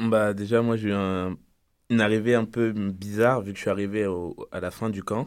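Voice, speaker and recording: On a very clean recording with a silent background, a man speaks at a moderate pace in a monotone, flat intonation, his pitch fairly low. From France. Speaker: university soccer player. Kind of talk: radio interview.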